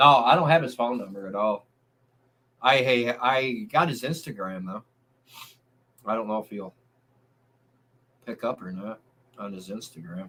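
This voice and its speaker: A man talks at a medium pitch and a moderate pace, his pitch varying in an ordinary way. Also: big swings in loudness. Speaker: livestreamer and drummer. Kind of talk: casual chat. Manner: loud.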